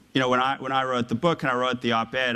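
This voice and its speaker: With an American accent, a man is speaking. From South Africa, Johannesburg. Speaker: former investment banker, author. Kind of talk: public talk to university audience. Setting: lecture hall with audience. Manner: hesitant, many fillers.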